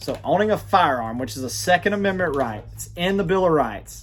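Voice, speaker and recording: A man speaks at a moderate pace with an Alabama accent. His voice is somewhat breathy, with very wide pitch swings. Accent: Alabama, affects pronunciation. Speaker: gun rights commentator. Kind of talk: political commentary monologue. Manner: halting, many false starts; animated, indignant.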